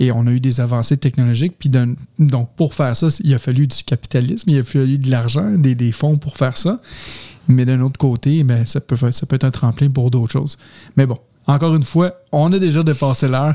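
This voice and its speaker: A man with a Quebec accent speaks at a fairly quick pace and medium pitch, somewhat breathy. His tone is dark and mellow, with a dry, close sound and no echo. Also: ordinary pitch variation. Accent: Québécois French. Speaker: podcast host. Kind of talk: casual chat. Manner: halting.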